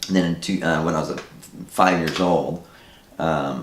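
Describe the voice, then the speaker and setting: A man speaks with a very deep, low pitch and vocal fry. Audible room echo surrounds his voice. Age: 40s. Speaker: filmmaker. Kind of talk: interview.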